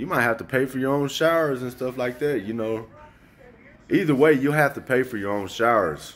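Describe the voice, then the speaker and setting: With ordinary pitch variation, a man's speech proceeds at a moderate pace. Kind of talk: casual vlog chat. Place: home room. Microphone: phone near.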